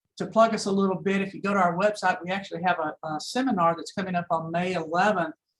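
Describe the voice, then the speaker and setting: Very fast American-accented speech with hardly any pauses. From Dallas, Texas. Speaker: accounting firm sponsor speaker. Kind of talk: business presentation.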